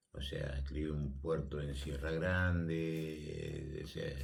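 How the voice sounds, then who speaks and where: With audible room echo, a man speaks in a very deep, low voice with fairly even intonation. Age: 80s+. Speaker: retired politician and sports official. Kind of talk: radio interview. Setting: radio studio.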